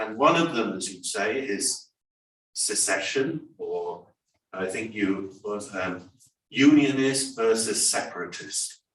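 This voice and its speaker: A man with an English accent talks at a very slow pace in a medium pitch, his intonation lively, with audible room echo around him. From England. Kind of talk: panel discussion comment. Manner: animated.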